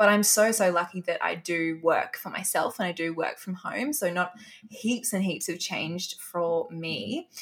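Over noticeable background noise, a woman at medium pitch speaks at a moderate pace with ordinary pitch variation. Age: 20s. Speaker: health and fitness influencer. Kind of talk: interview. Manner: animated.

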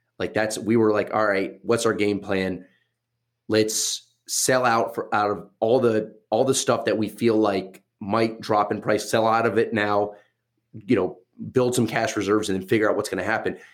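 A man's fairly low voice in an American accent, monotone and flat, at a moderate pace. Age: 30s. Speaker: podcast host and watch dealer. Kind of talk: casual interview chat. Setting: video call. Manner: relaxed, conversational, some stumbles.

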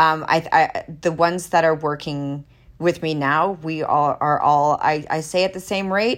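On a very clean recording with a silent background, a woman with a normal speaking voice talks at a moderate pace with fairly low pitch and ordinary pitch variation. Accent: Canadian. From Canada, Alberta (Jasper, Canadian Rockies). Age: 40s. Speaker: actress. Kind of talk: interview.

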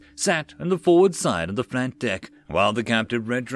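The text is read aloud in a natural voice, and the intonation rises and falls in a lively way.

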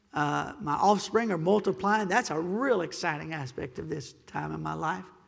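Audible room echo surrounds the man as he talks. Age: 50s. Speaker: pastor. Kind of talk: Sunday morning Baptist-style sermon, expository preaching with congregational asides. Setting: church pulpit with PA system and congregation. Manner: impassioned, urgent exhortation with rhetorical questions and call-and-response 'Amen?'; conversational, self-deprecating humor breaking into earnest pleading.

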